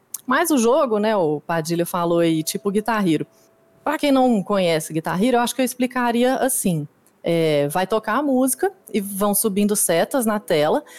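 A woman's medium-pitched voice makes very wide pitch swings at a moderate pace with very even loudness, in a dry, close sound with no echo despite noticeable background noise. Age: 30s. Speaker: competitive dance game player. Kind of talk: casual interview chat.

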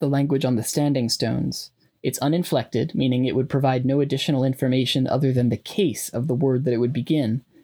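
Fairly even intonation in plain reading aloud

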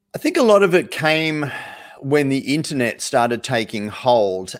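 A man is speaking. He has an Australian accent. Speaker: sales coach. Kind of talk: live webinar talk.

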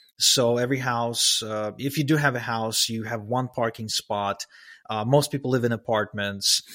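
In a very clean recording with a silent background, a man at medium pitch uses a bright, sharp tone, fairly even intonation and a moderate pace. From Ukraine. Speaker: email marketer and podcast host. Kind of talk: casual interview chat.

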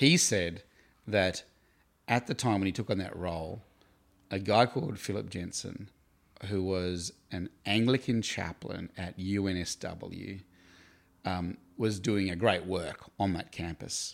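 With an Australian accent, the speaker talks at a fairly slow pace with long, frequent pauses and ordinary pitch variation on a very clean recording with a silent background. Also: man, very deep, low pitch for a man. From Tasmania, Australia (Hobart). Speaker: campus ministry staff worker. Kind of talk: interview.

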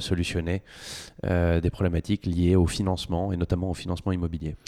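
A man with a very deep, low pitch and a dark, mellow tone speaks with fairly even intonation, the sound dry and close with no echo on a very clean recording with a silent background. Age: 30s. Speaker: fintech co-founder, lawyer by training. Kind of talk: interview. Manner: hesitant, many fillers.

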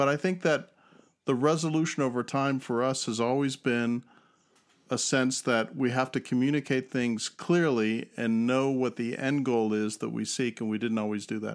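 In a normal speaking voice, a man talks at a moderate pace and medium pitch, recorded very cleanly against a silent background. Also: ordinary pitch variation. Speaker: husband of host, neurodivergent partner. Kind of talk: casual conversation.

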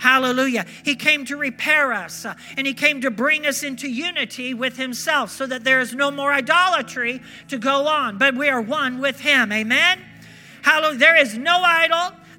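At an extremely high pitch, a man speaks in a raised, projected voice at a moderate pace with ordinary pitch variation. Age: 60s. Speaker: pastor. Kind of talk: fervent Pentecostal sermon with call-and-response. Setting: church service with congregation. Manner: animated, punctuated by repeated hallelujahs; halting, with frequent uh fillers.

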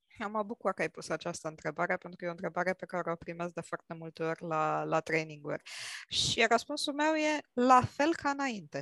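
The speaker goes at a fairly quick pace with very wide pitch swings and big changes in loudness, in a dry, close sound with no echo and a quiet background. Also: woman, fairly low pitch for a woman. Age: 40s. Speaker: IT manager and clinical psychologist. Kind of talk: casual discussion.

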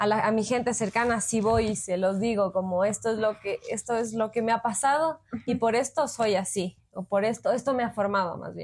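A woman with an unremarkable speaking voice talks at a moderate pace, her pitch fairly high and her intonation fairly even. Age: 20s. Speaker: psychologist, podcast co-host. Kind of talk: casual chat.

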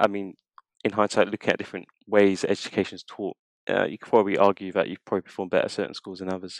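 With a London accent, the speaker talks at a very fast pace in a flat monotone, loudness swinging widely, the sound dry and close with no echo. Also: man, fairly low pitch for a man. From North London, Tottenham. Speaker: marketing manager. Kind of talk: interview.

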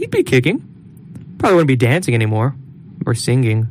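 A man speaks over noticeable background noise. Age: 20s. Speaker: college podcast co-host. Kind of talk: casual chat. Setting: studio.

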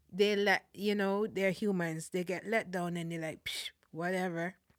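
A woman with a Caribbean accent is heard on a very clean recording with a silent background. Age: 40s. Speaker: Salvation Army officer. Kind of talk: testimony.

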